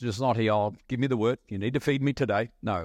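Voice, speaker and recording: A man talks at a fairly quick pace in an ordinary speaking voice, with ordinary pitch variation. The background is quiet. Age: 60s. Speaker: visiting pastor. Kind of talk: sermon. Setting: church.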